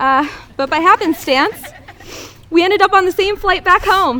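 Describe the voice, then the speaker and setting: A woman projects a raised voice with very wide pitch swings. Noticeable background noise can be heard. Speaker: bride reading wedding vows, air force veteran. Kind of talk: wedding vows speech. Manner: loud.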